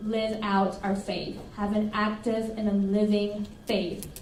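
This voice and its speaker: A woman with a Spanish accent talks at a fairly slow pace and a fairly high pitch, while noticeable background noise and audible room echo fill the recording. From Colombia, then Arlington, Texas from about age ten. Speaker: pastor. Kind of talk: sermon. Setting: church service, livestreamed. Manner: animated.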